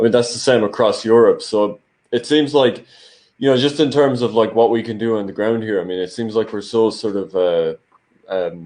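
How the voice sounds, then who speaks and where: A man's medium-pitched voice with an Irish accent, moderate pace and ordinary pitch variation. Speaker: political commentator, channel host. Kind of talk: casual political discussion. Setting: livestream.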